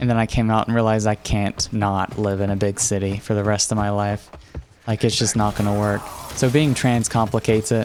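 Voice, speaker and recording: A fairly quick pace in an American accent, over noticeable background noise. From West Virginia, Appalachia. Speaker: video game speedrunner streaming. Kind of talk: casual chat while gaming live.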